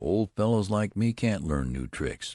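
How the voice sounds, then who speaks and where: A man speaks in a put-on character voice, fairly low-pitched, at a moderate pace with very wide pitch swings. The recording is very clean with a silent background and a dry, close sound with no echo. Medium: read story. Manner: matter-of-fact, self-satisfied.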